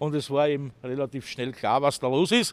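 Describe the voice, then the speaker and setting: Speaking at a moderate pace, a man talks with an Austrian accent. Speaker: homeless city tour guide. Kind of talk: guided walking tour talk.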